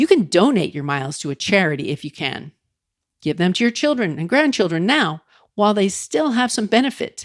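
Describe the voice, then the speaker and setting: A woman with an American accent speaks at a medium pitch and a moderate pace, her pitch swinging very widely. The sound is dry and close with no echo, on a very clean recording with a silent background. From Long Island, New York. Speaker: travel podcaster. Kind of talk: podcast travel tips narration.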